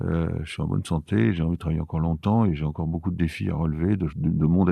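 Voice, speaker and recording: This man has a very deep, low pitch and a dark, mellow tone, speaking at a fairly quick pace. His pitch varies in an ordinary way against a quiet background. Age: 70s. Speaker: architect. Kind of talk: interview. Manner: halting.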